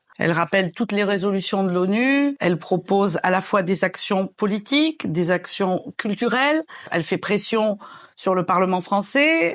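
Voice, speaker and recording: A woman with an unremarkable speaking voice talks at a fairly slow pace and medium pitch with lively intonation over a quiet background. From France, Nice. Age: 60s. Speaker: activist. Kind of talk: interview.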